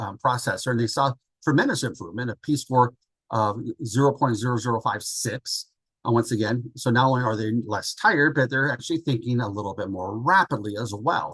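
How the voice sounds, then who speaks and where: A man's medium-pitched voice at a fairly quick pace, with ordinary pitch variation and a quiet background. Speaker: physician. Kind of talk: lecture. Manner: fast.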